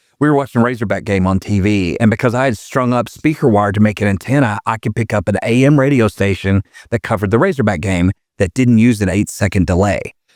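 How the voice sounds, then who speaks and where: A fairly low-pitched man with an Arkansas accent at a very fast pace and very even loudness, dry and close with no echo, in a very clean recording against a silent background. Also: ordinary pitch variation. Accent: Southern US (Arkansas). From Arkansas, US South. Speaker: former prison inmate. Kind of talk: casual interview chat.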